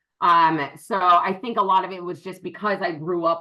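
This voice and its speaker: An animated woman with an American accent speaks at a moderate pace and a fairly low pitch. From western Massachusetts. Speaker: business partner. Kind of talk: interview. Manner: loud, projecting.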